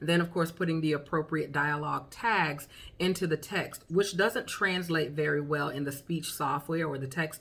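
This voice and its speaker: A woman speaks with a strong Southern accent in a very deep, low voice. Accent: heavy Southern. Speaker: beginning author and vlogger. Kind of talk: tutorial. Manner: casual, with many fillers.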